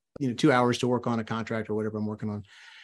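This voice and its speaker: Behind the voice, the background stays quiet. The accent is American. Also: man. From US South, South Louisiana. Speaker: entrepreneur and author. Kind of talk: interview.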